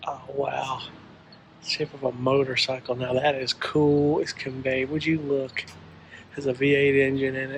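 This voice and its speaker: Light background noise sits under a man's voice. He talks at a very slow pace with monotone, flat intonation. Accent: Southern US. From South Carolina. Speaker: travel vlogger. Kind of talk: casual vlog commentary. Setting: indoor auto museum. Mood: delighted, admiring. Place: hall. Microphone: phone near.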